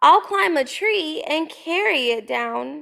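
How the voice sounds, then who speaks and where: A woman uses a put-on character voice, pitched high. She speaks at a fairly slow pace. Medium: read story. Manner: earnest.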